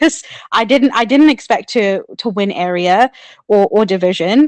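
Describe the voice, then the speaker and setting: With a New Zealand accent, a woman speaks at a fairly high pitch with ordinary pitch variation. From New Zealand (born in Sri Lanka). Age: 30s. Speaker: public speaking club member, contest winner. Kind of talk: podcast interview. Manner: animated.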